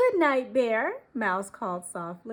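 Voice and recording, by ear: Someone is reading aloud in a natural voice.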